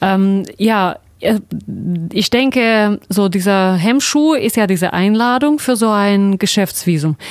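Speaking very slowly, a woman uses a medium pitch with ordinary pitch variation. Her loudness stays very even. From Russia. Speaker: radio host. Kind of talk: radio interview. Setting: studio.

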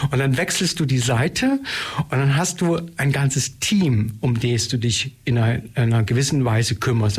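Noticeable background noise sits behind a man speaking at a medium pitch. He keeps a moderate pace with ordinary pitch variation. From East Germany (Saxony). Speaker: dance theatre director and choreographer. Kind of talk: radio interview.

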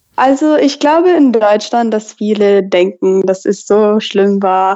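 This woman's pitch is fairly high. Her intonation is lively. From Texas. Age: 20s. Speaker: college student. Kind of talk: interview. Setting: phone call. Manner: halting.

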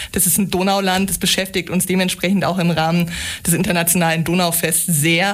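This woman talks at a fairly quick pace in a fairly low pitch, her intonation monotone and flat and her loudness very even. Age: 30s. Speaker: EU information centre coordinator. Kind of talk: radio interview. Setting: radio studio.

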